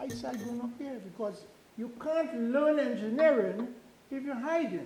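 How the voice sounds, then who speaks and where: This man's pitch is extremely high, with ordinary pitch variation. He speaks at a fairly slow pace, and audible room echo surrounds him. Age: 80s+. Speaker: retired engineering professor. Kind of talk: invited talk. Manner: halting.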